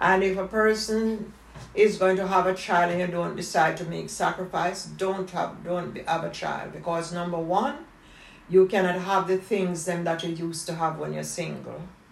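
A woman's fairly low voice at a moderate pace, with fairly even intonation and noticeable background noise. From Jamaica. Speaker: retired dressmaker, family elder. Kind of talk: family interview, life story.

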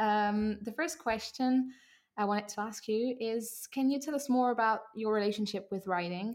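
A woman with a French accent, fairly high in pitch, at a moderate pace with ordinary pitch variation, in a very clean recording against a silent background. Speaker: interviewer, podcast host. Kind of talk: interview in English. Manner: halting, hesitant in English.

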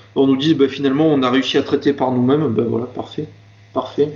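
This man's voice sits at a fairly high pitch. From southern France, Marseille area. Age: 20s. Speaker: health and safety manager. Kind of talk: interview conversation. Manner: hesitant, many fillers and repetitions.

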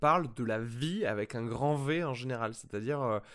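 A man at a very slow pace, medium pitch, ordinary pitch variation. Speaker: film podcast host. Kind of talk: casual film review chat.

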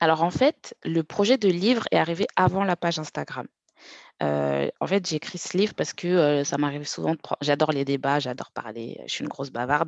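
The sound is dry and close, with no echo. The pace is fairly quick over a quiet background. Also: woman, very deep, low pitch for a woman, lively intonation. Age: 30s. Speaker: account manager and personal finance content creator. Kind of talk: interview.

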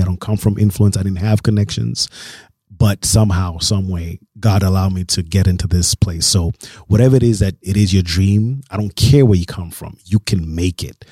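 A somewhat breathy, dark, mellow tone at a fairly quick pace, with a dry, close sound with no echo and a very clean recording with a silent background. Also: man. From Kenya (Nairobi). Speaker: DJ and producer, label owner. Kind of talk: casual interview. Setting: studio.

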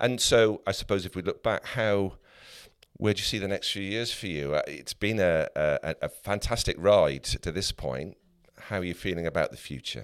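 A man talks at a moderate pace with a fairly low pitch, vocal fry, and ordinary pitch variation. The recording is very clean, with a silent background. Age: 60s. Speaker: podcast co-host. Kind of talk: interview.

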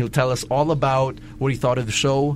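A man speaks at a moderate pace and medium pitch, with noticeable background noise. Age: 20s. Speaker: wrestling podcast host. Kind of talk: casual chat.

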